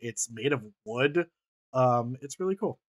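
An ordinary speaking voice from a man, moderate pace, ordinary pitch variation, and a dry, close sound with no echo. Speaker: podcast host and comedy improviser. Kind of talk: improvised comedy podcast.

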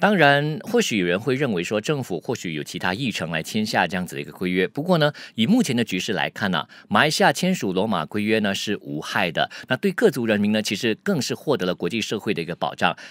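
A man talks at a very fast pace with hardly any pauses, his fairly low pitch making very wide swings in a dry sound with no echo. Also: quiet background. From Malaysia. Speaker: news commentator. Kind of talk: news commentary. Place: studio. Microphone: studio mic.

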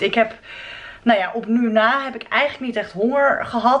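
Noticeable background noise sits behind a woman speaking. Her tone is animated, her pace moderate. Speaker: vegan food vlogger. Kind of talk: casual vlog.

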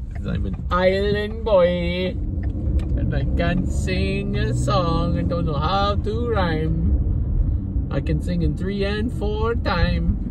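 Through loud background noise, a man talks at a very slow pace with ordinary pitch variation, the sound dry with no echo. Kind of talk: casual vlog chat. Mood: joking, storytelling. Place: car. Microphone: phone near.

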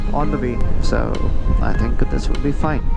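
Over clear background music, a man talks at a moderate pace in a dry sound with no echo. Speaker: motorbike rider vlogger. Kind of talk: casual vlog chat. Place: motorbike.

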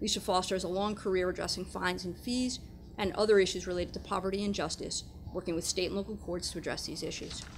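Light background noise accompanies a woman who talks at a very fast pace with vocal fry and fairly even intonation. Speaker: host introducing webinar speakers. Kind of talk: formal introduction read aloud. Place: meeting room. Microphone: podium.

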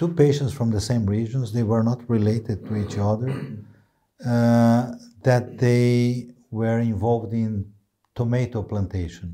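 A man speaks with a Brazilian accent and a dark, mellow tone. His pace is fairly slow and his intonation fairly even. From Brazil, inner region. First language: Portuguese. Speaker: neurology professor. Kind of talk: interview. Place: studio. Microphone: lapel.

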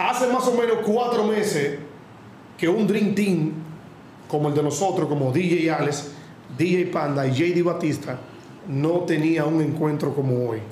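Over light background noise and with audible room echo, a man with a Dominican accent speaks slowly at a fairly high pitch, leaving long, frequent pauses. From Dominican Republic. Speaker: podcast host. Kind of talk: casual live show chat. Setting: live stream studio. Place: studio.

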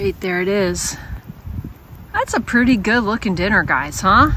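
A woman with a fairly high pitch is heard over noticeable background noise. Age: 50s. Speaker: outdoor vlogger. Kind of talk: casual vlog monologue. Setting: outdoors at a campfire.

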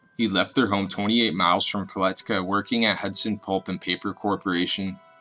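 With music in the background, a man speaks at a fairly quick pace in a fairly low, monotone, flat voice. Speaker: true crime narrator. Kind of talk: scripted narration. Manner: fast.

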